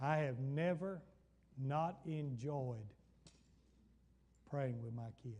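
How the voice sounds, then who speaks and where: Speaking at a very slow pace with long, frequent pauses, a man with an American accent has a dark, mellow tone, a somewhat breathy quality and ordinary pitch variation, with audible room echo around him. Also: fairly high pitch for a man. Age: 70s. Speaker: pastor. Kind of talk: Bible study sermon. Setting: church.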